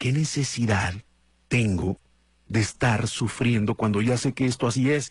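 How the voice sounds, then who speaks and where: Animated in tone, a man at medium pitch talks with ordinary pitch variation. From Mexico, Guadalajara, Jalisco. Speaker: radio host. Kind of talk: casual morning show monologue.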